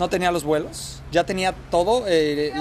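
A man speaks at a fairly high pitch. Noticeable background noise runs under his voice. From Mexico, Guadalajara. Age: 30s. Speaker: immigrant sharing life story. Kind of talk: casual interview. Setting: beachfront café.

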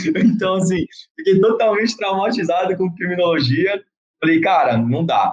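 A high-pitched man with lively intonation at a moderate pace. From Santos, São Paulo state, Brazil. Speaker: forensic expert police officer. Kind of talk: casual chat.

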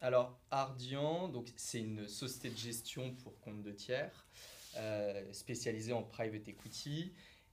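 The speaker uses ordinary pitch variation. There is audible room echo. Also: man. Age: 30s. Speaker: private equity investment manager. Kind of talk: interview.

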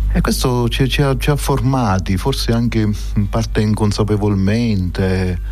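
Against music in the background and audible room echo, a man speaks at a fairly slow pace with very even loudness and hardly any pauses. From Sicily, Trapani. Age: 60s. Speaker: archbishop. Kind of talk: radio interview. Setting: studio. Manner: halting.

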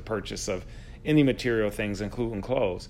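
Here is an ordinary speaking voice from a man with an American accent. His pitch is medium, with ordinary variation. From upstate New York (Buffalo). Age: 40s. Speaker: podcast host, teacher. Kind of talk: casual interview chat.

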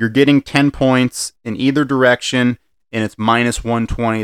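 This is a man with a plain, everyday voice at medium pitch, speaking at a moderate pace. His intonation is fairly even, and the sound is dry and close with no echo. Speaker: podcast host. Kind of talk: casual sports betting chat.

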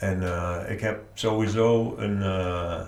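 With audible room echo, a man speaks at a fairly low pitch, somewhat breathy, with fairly even intonation. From Netherlands, Nijmegen. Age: 40s. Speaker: author. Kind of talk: interview.

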